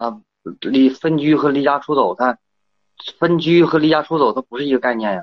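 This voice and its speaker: A man with a fairly high pitch talks at a fairly quick pace with ordinary pitch variation. He leaves long, frequent pauses, and his loudness swings widely. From rural China. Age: 30s. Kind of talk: phone call. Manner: halting.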